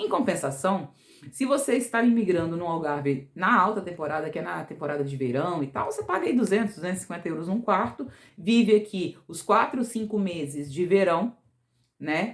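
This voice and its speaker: A woman speaks in an unremarkable speaking voice at medium pitch. Her pace is moderate and her intonation lively. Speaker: vlogger. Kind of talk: casual vlog talk.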